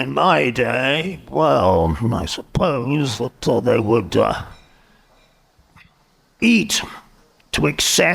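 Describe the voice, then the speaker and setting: In a put-on character voice, a man speaks at a medium pitch with very wide pitch swings, a very slow pace, and long, frequent pauses. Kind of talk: in-character improvised interview. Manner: grumpy, curt.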